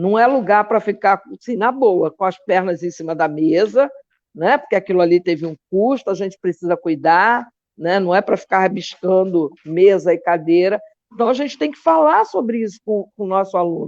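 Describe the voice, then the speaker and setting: At a moderate pace, a woman with a medium pitch talks with lively intonation. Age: 60s. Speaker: philosophy teacher and activist. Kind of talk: interview. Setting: live online show. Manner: animated.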